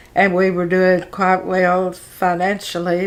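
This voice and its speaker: Here a woman speaks with an Arkansas accent at a medium pitch. Her pace is very slow. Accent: Southern US (Arkansas). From Arkansas, US South. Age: 80s+. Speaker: retired pastor's wife. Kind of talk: interview testimony. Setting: interview with a fan running. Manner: halting.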